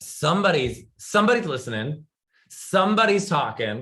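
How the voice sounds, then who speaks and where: Loud and animated, the voice has a bright, sharp tone and very wide pitch swings. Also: man. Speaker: talk show guest. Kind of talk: casual interview chat.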